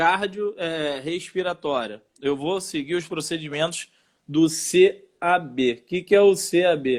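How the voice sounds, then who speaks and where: A man's high voice at a fairly slow pace with ordinary pitch variation. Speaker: firefighter teaching first aid. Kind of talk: live stream lesson.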